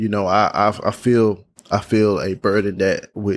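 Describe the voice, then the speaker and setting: A man's fairly low voice with a Southern US accent, flat and monotone, at a fairly slow pace on a very clean recording with a silent background. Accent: Southern US (Georgia). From US South, Georgia. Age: 20s. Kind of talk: faith testimony monologue. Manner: repeats words, halting in places.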